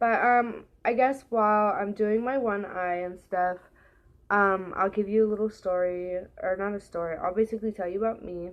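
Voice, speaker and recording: With an American accent, a woman speaks at a moderate pace. Her intonation is fairly even. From California. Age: 20s. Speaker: beauty vlogger. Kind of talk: casual makeup tutorial chat. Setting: at home. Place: home room. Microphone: webcam.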